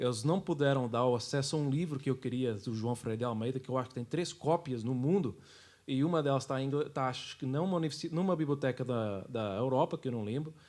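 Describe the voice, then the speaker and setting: Very fast speech with ordinary pitch variation on a very clean recording with a silent background. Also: man, medium pitch for a man. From Portugal. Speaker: church worker and history presenter. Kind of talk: casual interview chat.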